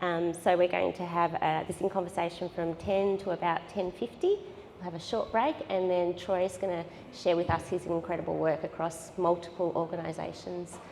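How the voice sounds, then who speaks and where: A woman with an Australian accent and a fairly low pitch speaks at a moderate pace in a monotone, flat intonation. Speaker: gallery director and discussion facilitator. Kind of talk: moderated panel discussion at a public event. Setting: gallery with live audience.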